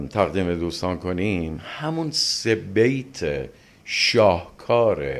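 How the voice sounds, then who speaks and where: A man speaks with very wide pitch swings. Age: 60s. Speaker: literature professor and translator. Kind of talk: interview.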